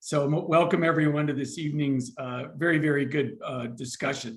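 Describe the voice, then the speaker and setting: Audible room echo surrounds this man's fairly high voice. He moves at a fairly quick pace. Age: 60s. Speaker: mental health nonprofit CEO. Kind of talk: panel discussion.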